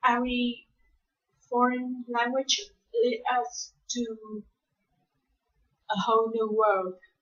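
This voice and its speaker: The woman's voice is high in pitch. She speaks very slowly. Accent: Vietnamese. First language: Vietnamese. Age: 20s. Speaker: university student. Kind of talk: spoken class assignment monologue. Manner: hesitant, many fillers.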